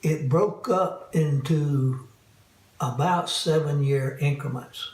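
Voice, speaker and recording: A man with a fairly high pitch and ordinary pitch variation speaks at a very slow pace, with audible room echo and noticeable background noise. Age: 80s+. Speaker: caregiver for spouse. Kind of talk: personal testimony interview.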